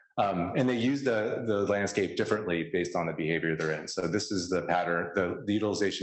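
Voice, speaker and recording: A man with an American accent speaks at a very fast pace with audible room echo. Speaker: scientist presenting research. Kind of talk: conference talk.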